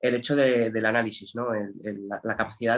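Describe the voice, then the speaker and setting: A man's medium-pitched voice at a fairly quick pace, flat and monotone in intonation. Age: 30s. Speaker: natural bodybuilder. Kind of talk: podcast interview.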